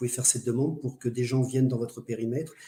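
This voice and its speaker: A man talks at a very fast pace in a medium pitch, with a flat, monotone delivery. His tone is dark and mellow, somewhat breathy. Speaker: medium and spiritual speaker. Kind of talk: online lecture. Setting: live webinar.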